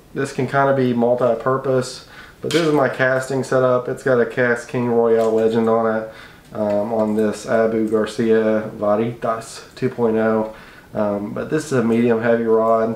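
The delivery is fairly slow and monotone, with flat intonation. There is audible room echo. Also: man. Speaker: fishing channel host. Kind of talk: gear tutorial. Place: home room. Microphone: camera far.

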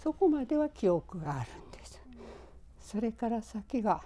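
Woman's voice at medium pitch, dark and mellow in tone, with vocal fry and very wide pitch swings. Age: 90s. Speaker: atomic bomb survivor. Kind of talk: interview testimony.

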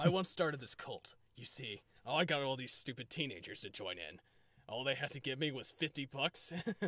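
At a fairly quick pace, a man performs a put-on character voice at a medium pitch. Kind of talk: comic overacting. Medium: fan dub. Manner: smug, gleeful, callous.

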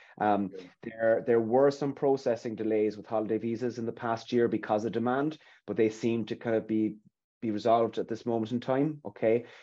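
In an Irish accent, a man talks at a fairly quick pace with fairly even intonation. His tone is dark and mellow, and the background is quiet. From Ireland. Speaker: recruitment consultant. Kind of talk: webinar interview. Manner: hesitant, repetitive. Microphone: webcam.

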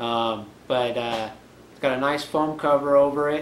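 The intonation is monotone and flat. Audible room echo and light background noise are present. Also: man. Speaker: reviewer. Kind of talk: unboxing review. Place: home room. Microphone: camera far.

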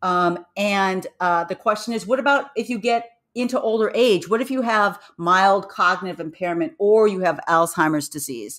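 With hardly any pauses, the speaker keeps a moderate pace, an animated tone and lively intonation on a very clean recording with a silent background. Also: woman, medium pitch for a woman. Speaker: neuroscience professor. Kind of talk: interview.

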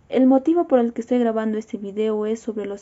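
Speaking at a fairly quick pace, a woman uses a fairly high pitch with ordinary pitch variation. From Peru, Cusco; Peru. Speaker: university student. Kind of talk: personal video statement. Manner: formal. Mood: serious, concerned. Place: home room. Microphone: phone near.

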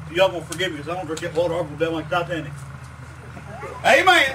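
Against noticeable background noise, a man speaks in a raised, projected voice. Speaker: preacher. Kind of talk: revival sermon. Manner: fervent, emphatic.

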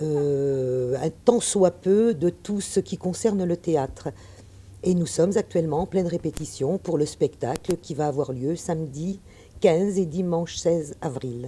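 Her tone is dark and mellow, her pitch fairly low for a woman. She speaks at a fairly slow pace with ordinary pitch variation. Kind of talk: interview answer. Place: hall.

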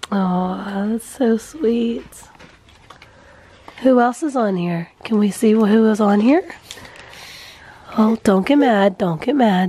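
At a very slow pace with long, frequent pauses, a woman speaks at a fairly high pitch with ordinary pitch variation against noticeable background noise. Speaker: family vlogger. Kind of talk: casual vlog talk.

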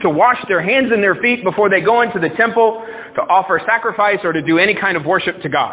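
With a fairly quick delivery, the pitch rises and falls in a typical manner. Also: man. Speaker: pastor. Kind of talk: sermon. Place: church.

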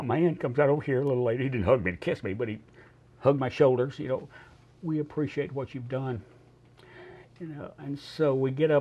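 Talking very fast, the speaker leaves long, frequent pauses, with big swings in loudness and ordinary pitch variation. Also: man. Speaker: World War II veteran. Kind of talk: elder recounting a war memory, showing souvenirs. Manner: animated, warm and emotional storytelling with halting, repeated phrases. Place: studio.

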